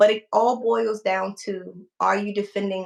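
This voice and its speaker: This woman has a plain, everyday voice. She talks at a fairly slow pace with fairly even intonation. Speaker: firearm instructor. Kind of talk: livestream talk answering viewer questions.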